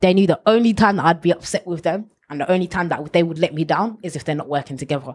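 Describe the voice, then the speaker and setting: A woman with a London accent, fairly low in pitch, with ordinary pitch variation, on a very clean recording with a silent background. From London, Ilford. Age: 20s. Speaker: former bank manager, youth mentor. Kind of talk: interview.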